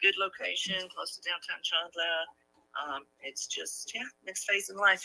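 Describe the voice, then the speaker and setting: Someone speaks at a fairly slow pace with music in the background. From London, England. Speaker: real estate agent. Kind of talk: sales call.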